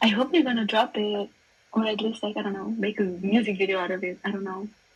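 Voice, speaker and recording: A woman talks at a very fast pace with a medium pitch and fairly even intonation. Noticeable background noise runs under her voice. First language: not English. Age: 20s. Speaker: music fan guest. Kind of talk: casual chat.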